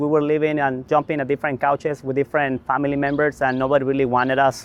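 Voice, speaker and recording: A man with a Mexican accent talks at a very fast pace. His fairly high pitch holds fairly even intonation. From Mexico. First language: Spanish. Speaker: community development leader. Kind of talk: interview. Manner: halting.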